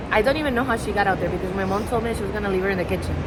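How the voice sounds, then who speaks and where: Speech with a non-native accent amid noticeable background noise. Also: woman. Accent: noticeable foreign. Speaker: travel vlogger. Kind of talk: casual vlog talk. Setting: airport.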